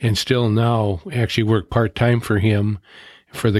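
With an unremarkable speaking voice, a man speaks at a moderate pace and a fairly low pitch in a very clean recording with a silent background. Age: 60s. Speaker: retired volunteer on mission service projects. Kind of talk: interview.

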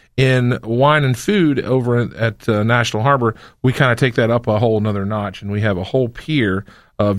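In a very clean recording with a silent background, a man talks at a fairly quick pace in an ordinary speaking voice with ordinary pitch variation. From North Carolina. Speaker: wine festival organizer. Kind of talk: casual chat. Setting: studio.

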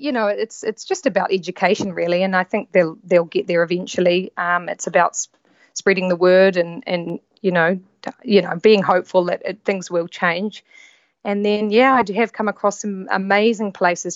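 At a moderate pace, a woman with a New Zealand accent speaks at a medium pitch with fairly even intonation. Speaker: yacht stewardess. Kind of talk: casual chat. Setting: remote call.

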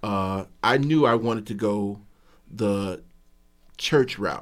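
With an American accent, a man uses an ordinary speaking voice, fairly low in pitch, with ordinary pitch variation. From Chicago, South Side. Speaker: author. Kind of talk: radio interview.

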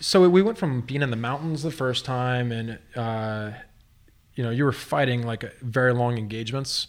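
A man talks at a moderate pace with an unremarkable speaking voice. His pitch sits at a medium level and varies in an ordinary way. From Texas. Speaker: brewery owner and army veteran. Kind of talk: casual chat.

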